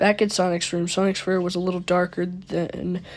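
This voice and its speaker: A woman's medium-pitched voice at a moderate pace, with monotone, flat intonation. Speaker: youtuber reading creepypasta. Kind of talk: reading aloud with commentary. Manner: stuttering.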